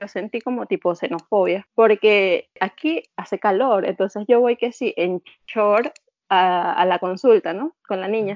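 A woman speaks with a Venezuelan accent. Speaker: emigrant guest. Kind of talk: casual interview chat.

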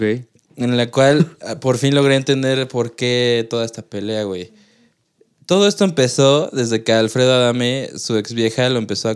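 In a plain, everyday voice, a man speaks at medium pitch and a fairly slow pace. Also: ordinary pitch variation. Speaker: podcast co-host. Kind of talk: casual chat.

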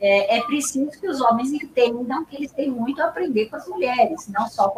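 The woman's pitch is high, its variation ordinary, and her pace moderate. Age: 70s. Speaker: professor and researcher. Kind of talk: interview conversation about philosophy.

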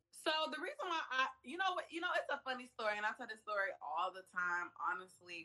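Very wide pitch swings from a woman, against noticeable background noise. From Atlanta, Georgia, US South. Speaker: publicist. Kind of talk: casual interview.

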